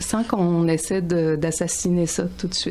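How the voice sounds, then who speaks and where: A woman with a Quebec accent speaks at a fairly slow pace, her fairly low pitch held in fairly even intonation. Noticeable background noise runs behind her. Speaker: author. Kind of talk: radio interview.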